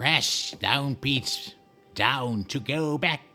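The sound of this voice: A man's put-on character voice, fairly high in pitch, over faint music in the background.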